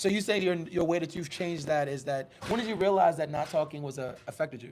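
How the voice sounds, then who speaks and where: Over noticeable background noise, a man talks very fast in an animated tone, his fairly high pitch showing ordinary variation. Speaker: podcast host. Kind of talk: casual chat. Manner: loud.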